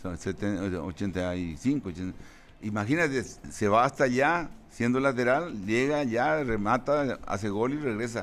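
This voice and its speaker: Using lively intonation, a man at medium pitch speaks at a very slow pace. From Paraguay. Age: 70s. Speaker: football coach. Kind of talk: interview.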